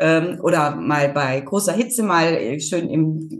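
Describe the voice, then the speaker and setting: A woman's unremarkable speaking voice, fairly low in pitch, with ordinary pitch variation. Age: 50s. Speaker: farmer and rural women's association chair. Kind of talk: interview.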